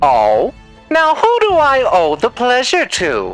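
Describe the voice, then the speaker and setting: A put-on character voice at a fairly high pitch and a fairly slow pace, with faint music in the background. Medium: dub. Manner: theatrical, mocking.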